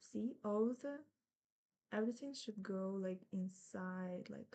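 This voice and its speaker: Her words come very slowly. The woman's dark, mellow tone sits at a medium pitch. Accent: non-native. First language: not English. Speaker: embroidery teacher. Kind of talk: tutorial. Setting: live stream. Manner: casual, with fillers and self-corrections.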